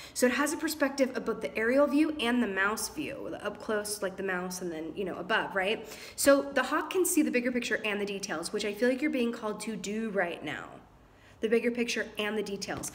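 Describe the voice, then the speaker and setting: The voice is an ordinary speaking voice with lively intonation. It moves at a fairly quick pace. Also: woman, fairly high pitch for a woman. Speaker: tarot reader. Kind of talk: tarot reading.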